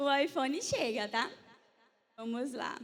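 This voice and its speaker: A woman talks in an animated tone at a fairly slow pace. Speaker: church media team leader. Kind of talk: church conference talk.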